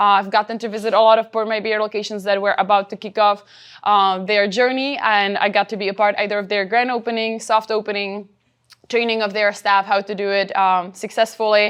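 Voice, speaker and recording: In a Czech accent, a woman speaks at medium pitch and a fairly quick pace, her intonation monotone and flat against a quiet background. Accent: noticeable Czech. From Czech Republic. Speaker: company trainer and presenter. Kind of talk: workshop presentation.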